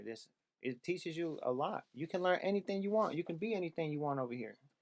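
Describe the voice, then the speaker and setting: The sound of this man's voice is dry and close, with no echo. His intonation is lively. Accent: American. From US West Coast, San Francisco (Bayview Hunters Point). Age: 30s. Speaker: MMA fighter. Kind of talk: casual chat.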